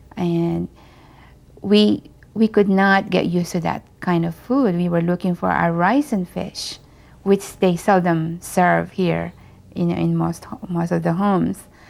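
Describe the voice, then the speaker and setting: A woman with a Filipino accent speaks at a fairly slow pace. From Philippines. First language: Filipino language. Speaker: Filipino immigrant. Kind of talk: documentary interview.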